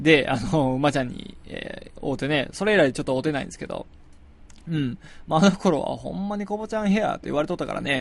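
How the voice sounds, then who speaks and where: A fairly high-pitched man's voice, very fast, with lively intonation. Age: 20s. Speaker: musician and podcast host. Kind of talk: casual solo talk. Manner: hesitant with many fillers.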